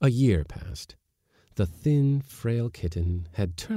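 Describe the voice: Over a quiet background comes plain reading aloud with lively intonation.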